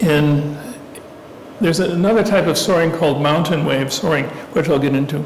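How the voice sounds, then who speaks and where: A man with a fairly high pitch and ordinary pitch variation speaks at a moderate pace with very even loudness and long, frequent pauses, amid noticeable background noise and audible room echo. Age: 70s. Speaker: guest speaker on aviation. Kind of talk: talk to a club audience. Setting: meeting room with live audience.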